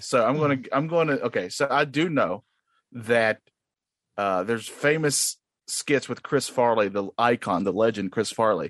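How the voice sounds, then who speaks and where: With an unremarkable speaking voice, a man talks at a medium pitch and a moderate pace, his intonation lively, the sound dry and close with no echo against a quiet background. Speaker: podcast guest and contestant. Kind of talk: casual trivia banter. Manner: boastful, joking.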